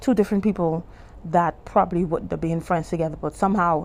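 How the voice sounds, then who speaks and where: A woman's fairly quick speech in a Bahamian accent. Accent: Bahamian-tinged English. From Bahamas. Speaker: YouTuber and life coach. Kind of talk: testimony. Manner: conversational, halting with self-corrections.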